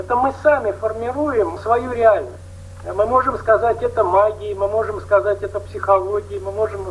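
There is noticeable background noise. Through it, a man speaks. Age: 60s. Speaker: Buddhist meditation teacher. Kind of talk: panel discussion.

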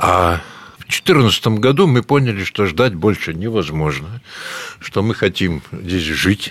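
A man's fairly low voice at a very slow pace, with lively intonation and noticeable background noise. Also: big swings in loudness. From Latvia (Riga). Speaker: rural workshop owner, medical equipment technologist. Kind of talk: interview. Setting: outdoors on a farmhouse veranda.

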